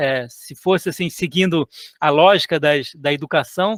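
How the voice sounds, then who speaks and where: Speaking with a Rio de Janeiro accent and ordinary pitch variation, a man is heard in a very clean recording with a silent background and a dry, close sound with no echo. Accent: carioca (Rio de Janeiro). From Chad and Cape Verde childhood, later Brazil. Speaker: author and illustrator. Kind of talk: interview. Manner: halting, many repetitions and fillers.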